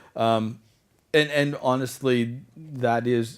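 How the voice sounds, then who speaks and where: With a Canadian accent, a man of medium pitch has an unremarkable speaking voice and ordinary pitch variation. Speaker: conference speaker. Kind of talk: Q&A after a conference talk.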